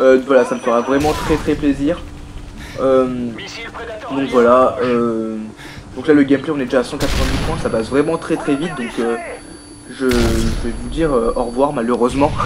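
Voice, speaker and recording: A man at a moderate pace with fairly even intonation, long, frequent pauses, and noticeable background noise. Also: medium pitch for a man. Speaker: gaming youtuber. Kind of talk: gameplay commentary. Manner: hesitant, many fillers.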